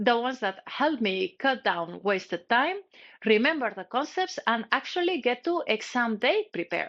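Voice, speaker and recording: With a non-native accent, a woman speaks in a high pitch at a moderate pace. Her pitch swings very widely. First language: not English. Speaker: cybersecurity educator. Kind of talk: tutorial. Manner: scripted, direct to camera.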